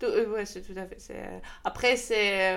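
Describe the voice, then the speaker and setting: There is audible room echo as a woman speaks with a Russian accent. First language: Russian (speaking French). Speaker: startup co-founder. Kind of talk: interview. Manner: halting.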